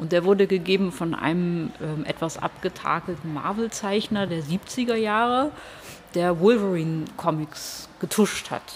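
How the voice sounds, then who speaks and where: This woman has an ordinary speaking voice, fairly low in pitch, with ordinary pitch variation and a fairly slow pace. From Hamburg, northern Germany. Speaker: comic artist. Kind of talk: casual interview.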